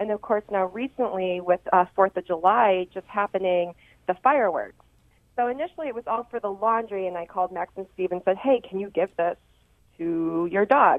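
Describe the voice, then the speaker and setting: With an American accent, a woman speaks in an unremarkable speaking voice of medium pitch, at a moderate pace with ordinary pitch variation. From Rochester, western New York. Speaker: sports chiropractor. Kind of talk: radio interview.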